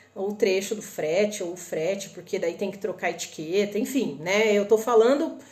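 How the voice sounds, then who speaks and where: A woman with a northern Paraná accent and a fairly high pitch, speaking at a fairly slow pace amid audible room echo and noticeable background noise. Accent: northern Paraná Brazilian. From northern Paraná, Brazil (Londrina). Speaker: online shopping and import tips presenter. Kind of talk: live stream tutorial. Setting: live stream on Instagram and YouTube. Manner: casual, conversational.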